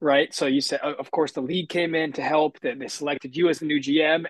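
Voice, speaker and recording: A man's unremarkable speaking voice, fairly high in pitch, at a moderate pace, with a dry, close sound and no echo. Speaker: podcast host. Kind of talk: casual interview.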